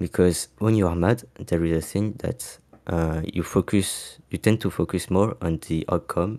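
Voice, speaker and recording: With a non-native accent, a man speaks at a moderate pace in a very deep, low voice with a dark, mellow tone and fairly even intonation, on a very clean recording with a silent background. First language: not English. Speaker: osu! player giving a talk. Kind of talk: community talk event speech. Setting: live stream. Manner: halting, many fillers.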